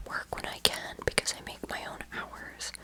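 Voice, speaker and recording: The voice is a whisper. There is noticeable noise in the background. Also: woman. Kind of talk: ASMR makeup tutorial rambling. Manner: whispered.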